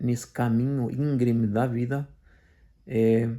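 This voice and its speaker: Monotone, flat intonation carries a dark, mellow tone at a fairly slow pace. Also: man. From Portugal. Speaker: commentator / video blogger. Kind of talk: personal testimony monologue. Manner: halting, many fillers and repetitions.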